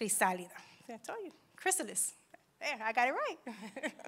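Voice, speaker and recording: Here a woman speaks with an English accent. Her pitch is high, and her pace is fairly slow. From New York, Dominican family. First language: English (speaking Spanish). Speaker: churchgoer giving testimony; speaker. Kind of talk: testimony. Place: church. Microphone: handheld.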